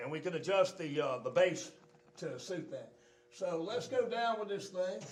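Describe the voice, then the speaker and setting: The speaker is a man with a high pitch. He keeps a moderate pace and ordinary pitch variation. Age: 60s. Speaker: exercise machine company founder demonstrating equipment. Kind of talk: equipment demonstration. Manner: casual, halting with fillers. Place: gym.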